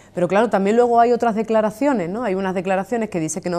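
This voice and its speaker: Pitch varies in an ordinary way in a woman's dark, mellow-toned voice. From Andalusia, Seville. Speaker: trade union leader. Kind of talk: TV interview.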